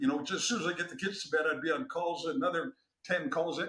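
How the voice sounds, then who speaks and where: A man speaks in a raised, projected voice at a fairly quick pace. His intonation is lively. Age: 60s. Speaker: former Olympic wrestler and business consultant. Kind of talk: podcast interview.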